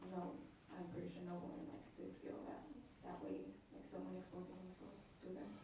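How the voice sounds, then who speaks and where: Amid noticeable background noise and audible room echo, a woman talks at a moderate pace with long, frequent pauses. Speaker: detention officer, witness. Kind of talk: witness testimony. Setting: courtroom witness stand. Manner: hesitant. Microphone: too far from the mic.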